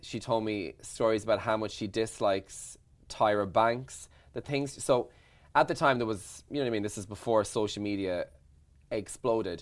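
On a very clean recording with a silent background, a man with an Irish accent talks at a moderate pace with ordinary pitch variation. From Ireland. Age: 40s. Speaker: radio presenter and journalist.

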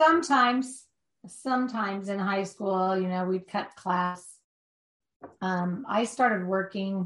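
A woman speaks at a very slow pace, her medium-pitched voice showing ordinary pitch variation. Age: 50s. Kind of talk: interview. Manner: halting.

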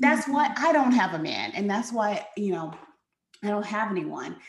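A somewhat breathy woman's voice at medium pitch, with very wide pitch swings. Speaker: confidence coach and podcast host. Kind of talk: casual chat. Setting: Facebook live video.

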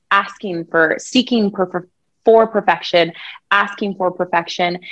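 An ordinary speaking voice from a woman with an American accent comes at a moderate pace with ordinary pitch variation. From Colorado, US (Thornton, suburbs). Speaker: country singer-songwriter. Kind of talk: casual interview.

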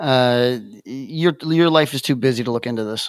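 A man talks at a very slow pace with fairly even intonation and a medium pitch. The recording is very clean, with a silent background. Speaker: podcast co-host. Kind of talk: casual chat. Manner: halting.

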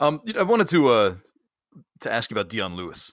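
At a very fast pace, a bright, sharp voice with vocal fry and very wide pitch swings comes through a very clean recording with a silent background. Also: man. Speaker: podcast host. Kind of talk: casual interview chat.

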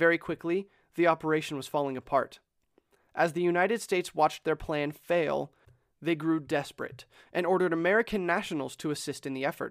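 A man with a high-pitched voice speaks at a fairly quick clip in a dramatic tone, his intonation fairly even, over a very clean recording with a silent background and a dry, close sound with no echo. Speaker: podcast host. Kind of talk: history documentary narration, dramatic storytelling. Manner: casual, conversational; urgent, suspenseful, dramatic pacing.

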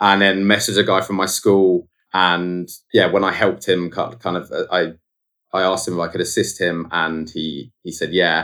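This man speaks in a southern English accent with a very deep, low pitch, a bright, sharp tone, monotone, flat intonation and a moderate pace. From southern England (Guildford, Surrey). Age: 20s. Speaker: photographer. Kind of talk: casual interview. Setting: video call.

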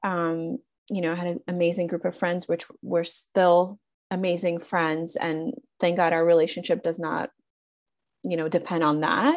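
A woman uses a normal speaking voice at fairly low pitch, with fairly even intonation. She keeps a moderate pace over a quiet background. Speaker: podcast host. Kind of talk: casual chat.

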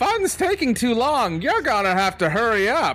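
Putting on a shrill character voice, a man speaks at an extremely high pitch with very wide pitch swings. His pace is moderate, and his loudness stays very even. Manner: impatient, urgent.

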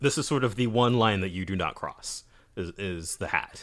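A man with an ordinary speaking voice speaks at medium pitch with lively intonation on a very clean recording with a silent background. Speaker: co-host, manga letterer. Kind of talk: casual chat. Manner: laid-back, jokey.

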